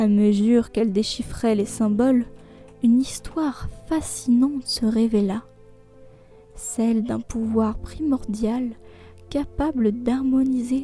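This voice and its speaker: Over music in the background, a soft-spoken woman with a fairly high pitch and a soothing tone talks at a very slow pace with long, frequent pauses. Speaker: bedtime storyteller. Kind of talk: sleep story narration. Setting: human narration, no AI voice. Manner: soft, soothing.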